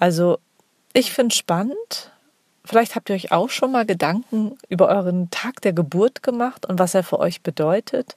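In a dry, close recording with no echo, a woman with an ordinary speaking voice and medium pitch talks at a moderate pace with lively intonation. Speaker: podcast host. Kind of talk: solo monologue.

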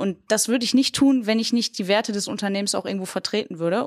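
Over a silent background in a very clean recording, a woman talks at a very fast pace. Her medium pitch has ordinary variation, and the sound is dry and close with no echo. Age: 20s. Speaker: bank innovation manager. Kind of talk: casual discussion. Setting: podcast studio.

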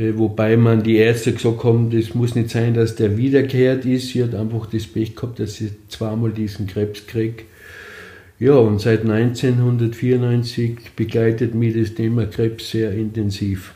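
Audible room echo surrounds a man's dark, mellow, somewhat breathy voice. He speaks at a very slow pace in a monotone, flat intonation. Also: medium pitch for a man. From Austria, East Tyrol (Lienz area). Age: 60s. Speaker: cancer patient. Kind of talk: interview testimony.

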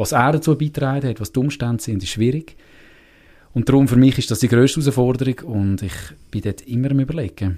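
Recorded very cleanly against a silent background, a man with a Uri accent speaks fairly quickly in a dark, mellow, somewhat breathy tone with ordinary pitch variation. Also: medium pitch for a man. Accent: Uri Swiss German dialect. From Switzerland, canton of Uri. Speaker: theatre maker and musician. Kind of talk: casual interview.

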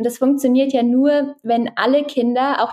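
A woman speaks at a moderate pace in a high pitch, her tone dark and mellow. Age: 20s. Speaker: startup founder. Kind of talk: interview. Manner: hesitant, many filler sounds.

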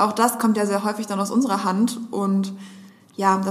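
A woman speaks at a medium pitch in a monotone, flat delivery. Noticeable background noise is present. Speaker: social media agency strategist and podcast co-host. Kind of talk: casual chat. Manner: fast.

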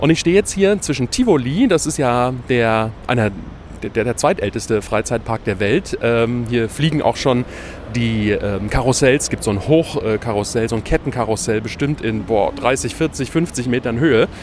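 This man talks at a moderate pace with a medium pitch. Background noise is noticeable. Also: ordinary pitch variation. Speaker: podcast host. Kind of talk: travel podcast on location. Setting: outdoors in the city.

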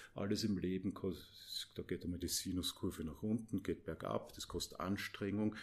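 Somewhat breathy and very deep, a man's voice carries an Austrian accent and ordinary pitch variation in a very clean recording with a silent background. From Austria, Mödling, Lower Austria. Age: 50s. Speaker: business coach. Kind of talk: podcast interview.

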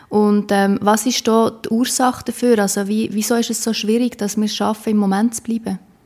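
A woman's fairly high, flat monotone at a fairly quick pace, with hardly any pauses. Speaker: podcast host. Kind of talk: interview.

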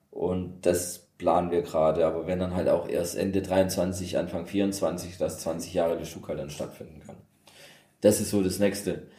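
At a fairly slow pace, a man with a very deep, low pitch and a dark, mellow tone speaks in monotone, flat intonation with big swings in loudness and audible room echo. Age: 30s. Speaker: DJ, former upholsterer. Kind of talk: casual interview chat. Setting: converted old car workshop.

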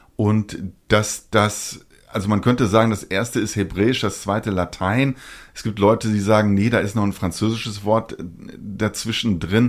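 In a very clean recording with a silent background, a man speaks at a moderate pace in a fairly low pitch with monotone, flat intonation. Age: 40s. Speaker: anime podcast co-host. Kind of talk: casual chat.

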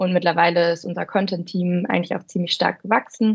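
A woman with a plain, everyday voice speaks fairly quickly at a fairly low pitch. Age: 20s. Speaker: content marketer at a software review platform. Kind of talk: casual interview.

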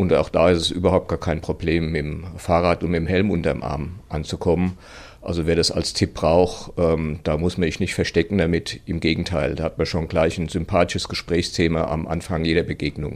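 A man speaks with a very deep, low pitch at a moderate pace. His intonation is monotone and flat. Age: 60s. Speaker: running club chairman. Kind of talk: interview. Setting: studio.

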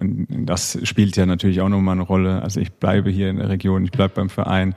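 This man has a dark, mellow tone and speaks at a fairly quick pace. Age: 30s. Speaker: professional handball player. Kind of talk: casual interview. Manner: hesitant, many fillers.

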